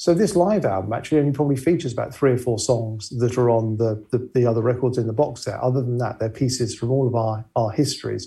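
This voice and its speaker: A man with a medium pitch and a dark, mellow, somewhat breathy tone, at a very fast pace with hardly any pauses and ordinary pitch variation. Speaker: musician and keyboard player. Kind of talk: casual interview. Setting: video call from home.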